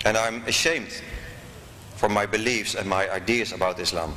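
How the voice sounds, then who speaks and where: There is noticeable background noise as a man speaks at a moderate pace with fairly even intonation. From Netherlands. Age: 40s. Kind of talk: speech.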